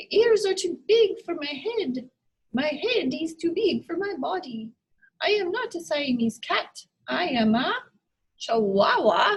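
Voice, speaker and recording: In a put-on character voice with a Spanish accent, a woman speaks playfully at a fairly slow pace, her extremely high pitch swinging very widely. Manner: playful, comic.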